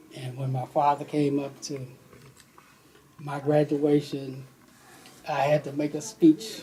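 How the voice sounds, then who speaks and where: Speaking at a fairly slow pace with long, frequent pauses, a man with a fairly high pitch keeps a fairly even intonation while his loudness swings widely, against noticeable background noise. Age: 70s. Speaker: interviewee, father of host. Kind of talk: family interview, personal memories.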